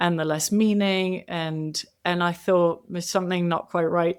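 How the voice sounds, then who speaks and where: In a very clean recording with a silent background, a woman speaks at a moderate pace with a fairly low pitch and monotone, flat intonation. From Asia, raised internationally. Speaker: author. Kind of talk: podcast interview.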